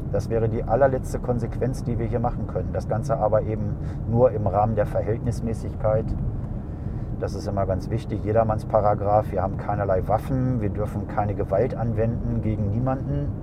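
Fairly quick speech with ordinary pitch variation comes through noticeable background noise and audible room echo. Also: man, fairly low pitch for a man. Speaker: airport traffic duty officer. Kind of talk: casual interview. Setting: in a car on the apron.

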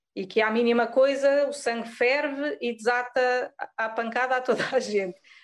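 A high-pitched woman's voice in a European Portuguese accent, fairly even in intonation, over a quiet background. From Azores, Pico island, Portugal. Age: 30s. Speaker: yoga teacher. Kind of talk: podcast interview.

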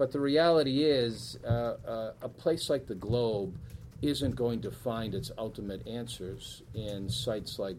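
A man with an American accent speaks at a fairly slow pace, with audible room echo around him. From Boston area, Massachusetts (Weymouth). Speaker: newspaper editor. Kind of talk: talk and Q&A at a speaker series. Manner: hesitant, many fillers.

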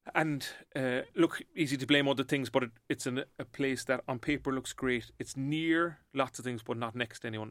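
A man with a Cork accent, medium pitch and moderate pace, in a dry, close sound with no echo. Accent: Cork Irish. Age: 40s. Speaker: entrepreneur. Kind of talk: casual interview chat.

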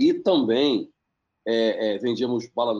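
With a normal speaking voice, a man talks at a medium pitch and keeps his intonation fairly even. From Baixada Fluminense, Rio de Janeiro, Brazil. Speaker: social entrepreneur and investor. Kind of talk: interview.

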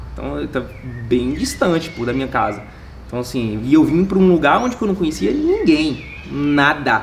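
A man speaks at a moderate pace. Room echo is audible and background noise is noticeable. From Minas Gerais, Brazil (Montes Claros). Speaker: network marketing entrepreneur. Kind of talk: casual interview.

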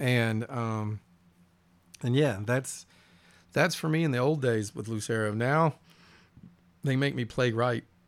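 On a very clean recording with a silent background, a man with a Southern US accent speaks fairly slowly at a medium pitch, with ordinary pitch variation and long, frequent pauses. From US South. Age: 50s. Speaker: musician. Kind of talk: casual chat.

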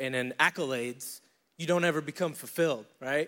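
A man with an American accent and an ordinary speaking voice, fairly high in pitch, at a fairly quick pace with ordinary pitch variation, in a very clean recording over a silent background. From upstate New York, Syracuse. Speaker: church men's leader. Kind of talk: testimony.

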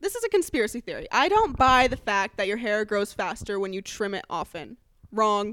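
A fairly quick delivery with lively intonation in an ordinary speaking voice. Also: woman, fairly high pitch for a woman. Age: 20s. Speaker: comedian. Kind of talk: casual chat.

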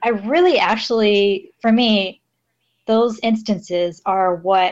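With an American accent, a woman at medium pitch uses an ordinary speaking voice with ordinary pitch variation. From Los Angeles, California. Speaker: guest, English teaching assistant in Japan. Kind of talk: casual chat.

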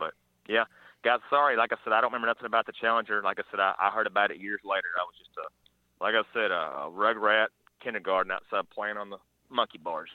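Big swings in loudness mark a man with an Arkansas accent talking at a very fast pace. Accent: Southern US (Arkansas). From northeast Arkansas (Paragould area). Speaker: radio caller. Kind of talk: casual sports talk call-in. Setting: phone call.

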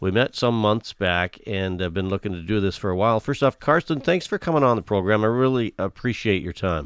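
With a normal speaking voice, a man talks at a fairly quick pace and a fairly low pitch, using lively intonation and hardly any pauses. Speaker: podcast host. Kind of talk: casual interview.

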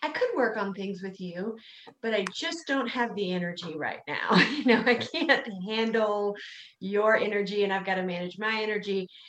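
A woman with an American accent at a medium pitch, over noticeable background noise. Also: ordinary pitch variation, moderate pace. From US South, South Carolina. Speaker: podcast host. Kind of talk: casual chat.

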